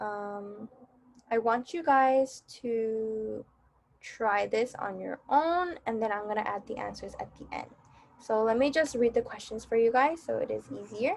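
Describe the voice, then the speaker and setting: A woman speaks at a moderate pace in a plain, everyday voice, her pitch fairly high with ordinary variation. Her loudness swings widely. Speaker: Korean language teacher. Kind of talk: online lesson tutorial. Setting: pre-recorded virtual class video.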